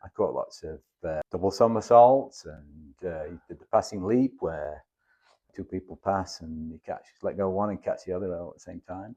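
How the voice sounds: A low-pitched man with a dark, mellow tone, in a northern English accent, at a moderate pace. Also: ordinary pitch variation.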